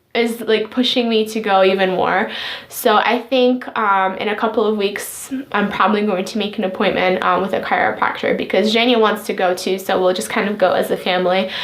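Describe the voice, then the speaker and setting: A woman at a fairly high pitch with fairly even intonation, amid noticeable background noise and audible room echo. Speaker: pregnancy vlogger. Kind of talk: casual vlog update. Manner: fast; hesitant, many fillers.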